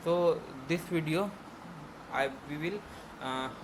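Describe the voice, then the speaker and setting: Over noticeable background noise, a man speaks at a fairly high pitch with an Indian accent. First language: Hindi. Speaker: programming tutor. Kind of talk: tutorial. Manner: halting.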